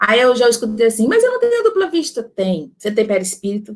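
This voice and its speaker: A woman speaks at a fairly quick pace, with ordinary pitch variation. She has an ordinary speaking voice. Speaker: spiritist lecturer on magnetism. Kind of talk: lecture. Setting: online talk with chat.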